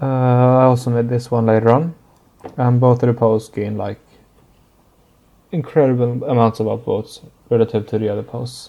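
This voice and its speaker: At a moderate pace, a man speaks at a medium pitch with a dark, mellow tone. His intonation is fairly even, broken by long, frequent pauses. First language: not English. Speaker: 3D artist and tutorial maker. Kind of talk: tutorial. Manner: halting, many fillers.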